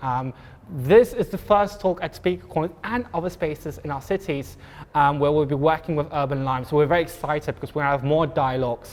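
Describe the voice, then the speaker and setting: Speaking at a fairly quick pace with an ordinary amount of pitch variation, a man with a fairly high pitch talks in a South African accent. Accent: Afrikaans-accented English. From South Africa, Pretoria. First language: Afrikaans. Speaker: event moderator. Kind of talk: panel moderation, live event. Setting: live talk with audience. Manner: hesitant, many fillers.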